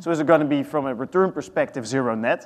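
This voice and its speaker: A man talks at a very fast pace. He has a Dutch accent. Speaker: real estate sustainability executive. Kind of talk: panel discussion.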